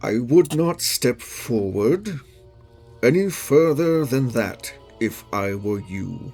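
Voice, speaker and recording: A man uses a booming, put-on character voice at medium pitch, swinging very widely in pitch at a very slow pace. Faint music plays in the background. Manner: warning.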